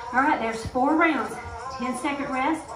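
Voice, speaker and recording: A woman's pitch varies in an ordinary way as music plays in the background. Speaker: fitness instructor. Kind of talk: workout instruction. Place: hall.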